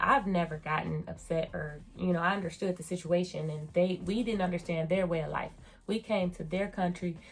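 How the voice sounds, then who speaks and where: Music plays in the background as a woman speaks at a moderate pace in a fairly low pitch. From United States. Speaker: beauty and surgery vlogger. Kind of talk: casual review vlog. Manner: animated.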